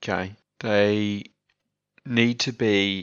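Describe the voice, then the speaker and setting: Against a quiet background, a man with an Australian accent speaks at a fairly low pitch in a bright, sharp tone. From Australia, Adelaide. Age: 20s. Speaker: podcast guest, host's boyfriend. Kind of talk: casual chat. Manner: halting.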